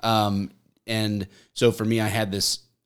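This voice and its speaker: Intonation stays fairly even throughout. The man's voice is fairly low in pitch. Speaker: police officer and content creator. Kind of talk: casual chat.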